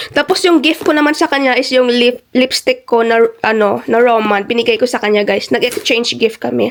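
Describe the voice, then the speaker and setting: A woman talks at a fairly quick pace with hardly any pauses, her high voice showing ordinary pitch variation. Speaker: travel and lifestyle vlogger. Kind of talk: casual vlog haul talk. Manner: casual, chatty with hesitations.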